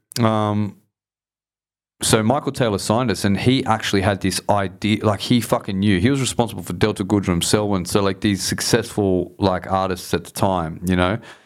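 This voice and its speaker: In a very clean recording with a silent background, a man with an Australian accent speaks at a fairly low pitch and a moderate pace with fairly even intonation. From Southwest Sydney, Australia. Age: 40s. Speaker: hip hop artist. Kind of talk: casual chat.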